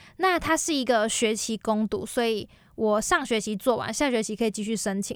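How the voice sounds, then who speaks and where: The delivery moves at a moderate pace. What you hear is an ordinary speaking voice. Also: woman, fairly high pitch for a woman, very clean recording, silent background. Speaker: university student. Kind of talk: casual interview chat.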